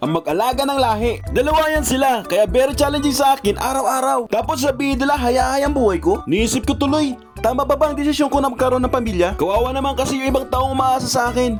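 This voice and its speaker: Over music in the background, a man with an extremely high-pitched voice talks at a very fast pace with hardly any pauses and ordinary pitch variation. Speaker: stay-at-home father and plant grower. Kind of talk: humorous voice-over monologue.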